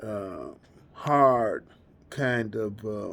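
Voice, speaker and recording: His intonation is fairly even. The man has an American accent. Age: 60s. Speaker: addiction therapist. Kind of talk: personal testimony. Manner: halting, many fillers.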